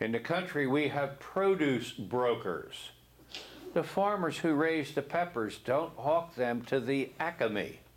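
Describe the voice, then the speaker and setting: Someone with an American accent speaks at a very slow pace and with ordinary pitch variation. Audible room echo surrounds the voice. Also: man, fairly high pitch for a man. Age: 70s. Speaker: real estate instructor. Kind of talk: classroom lecture. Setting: classroom. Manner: conversational, frequent 'okay?' and 'see?'.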